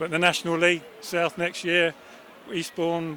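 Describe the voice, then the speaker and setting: The man's voice has a high pitch for a man. He speaks at a moderate pace over noticeable background noise. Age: 60s. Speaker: football fan. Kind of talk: interview.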